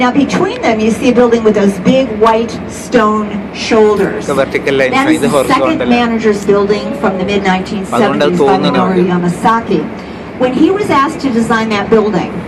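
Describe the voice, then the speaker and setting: Against noticeable background noise, the voice moves at a moderate pace with lively intonation and very even loudness. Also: woman, fairly high pitch for a woman. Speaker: volunteer tour guide. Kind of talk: guided tour commentary. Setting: outdoors, on a boat. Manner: vivid, explanatory.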